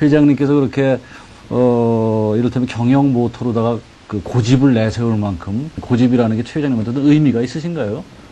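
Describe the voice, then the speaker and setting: Noticeable background noise sits behind a man speaking at a fairly quick pace. His pitch is medium, and his intonation is fairly even. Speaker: TV interview host. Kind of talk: interview.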